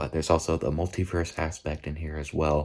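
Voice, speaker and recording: Quiet and very deep, a man's low voice holds a monotone, flat intonation at a moderate pace on a very clean recording with a silent background. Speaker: movie reviewer vlogger. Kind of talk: casual vlog review. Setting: at a relative's house at night. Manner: quiet, hushed; halting, repeats words.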